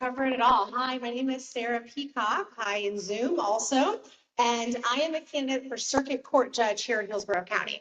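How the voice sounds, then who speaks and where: At a moderate pace, a woman with an American accent speaks in a high voice with ordinary pitch variation. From Tampa, Florida. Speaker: judicial candidate, lawyer. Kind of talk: campaign speech at community meeting. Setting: public meeting room, also streamed on Zoom.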